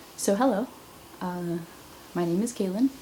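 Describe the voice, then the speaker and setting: Noticeable background noise accompanies a woman whose pitch is fairly low. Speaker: vlogger. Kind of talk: casual vlog monologue. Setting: camera at home, thin-walled room.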